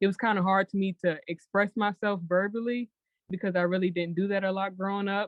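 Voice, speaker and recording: At a fairly quick pace, a woman speaks. Her pitch sits in the medium range. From US South. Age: 20s. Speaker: blogger. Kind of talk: interview.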